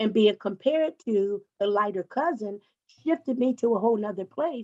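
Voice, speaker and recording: An unremarkable speaking voice from a woman, fairly high in pitch, with lively intonation, a moderate pace and a dry, close sound with no echo. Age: 60s. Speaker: panelist. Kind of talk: panel discussion.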